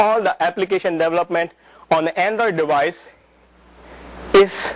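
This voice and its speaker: A man speaks in a high-pitched voice with ordinary pitch variation. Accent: non-native. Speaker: presenter at a developer user group. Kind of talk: technical presentation. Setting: talk to a live audience with microphone. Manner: halting, many fillers and repetitions.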